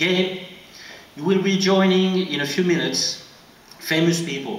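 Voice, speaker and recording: Amid noticeable background noise and audible room echo, a man with a French accent speaks at a high pitch and fairly slow pace, with ordinary pitch variation. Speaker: French official presenting an award. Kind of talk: award ceremony speech.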